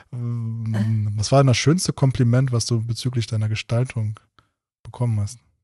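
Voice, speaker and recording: Somewhat breathy and dark, mellow in tone, this man's medium-pitched voice moves at a moderate pace with fairly even intonation. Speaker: podcast interviewer. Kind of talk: casual interview chat.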